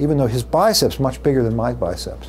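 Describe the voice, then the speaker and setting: Audible room echo colors this man's voice. He speaks at a fairly quick pace while noticeable background noise lingers. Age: 60s. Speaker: neurology professor. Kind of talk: lecture. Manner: hesitant fillers.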